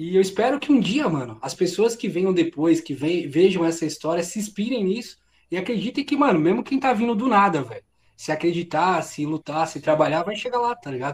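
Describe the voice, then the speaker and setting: Speaking at a fairly quick pace, a man uses a high pitch that swings very widely. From Brazil, São Bernardo do Campo (São Paulo ABC region). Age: 30s. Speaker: streamer and content creator. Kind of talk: casual interview chat.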